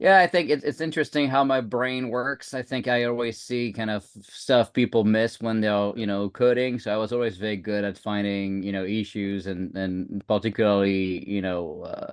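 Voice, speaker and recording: Speaking with a French accent, a man uses a fairly low pitch and ordinary pitch variation. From France. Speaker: security leader and tech founder. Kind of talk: podcast interview. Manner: hesitant, many fillers.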